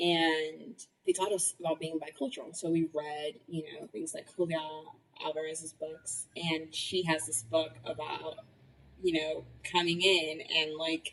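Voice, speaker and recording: Speaking at a fairly slow pace, a woman with a Spanish accent has a very deep, low pitch and ordinary pitch variation. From New York City (Washington Heights, Inwood). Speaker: events and partnerships manager. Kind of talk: interview.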